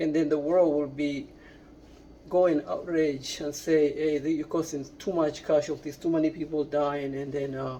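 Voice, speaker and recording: This speaker has a non-native accent and talks at a fairly slow pace. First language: not English. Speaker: political commentator vlogger. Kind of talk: opinion monologue. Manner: halting, many repetitions and fillers.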